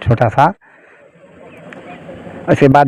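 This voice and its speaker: A man speaks at a moderate pace in a dark, mellow tone, the sound dry and close with no echo. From Jaunpur, Uttar Pradesh, India. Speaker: songwriter and school math teacher. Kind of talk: interview answer.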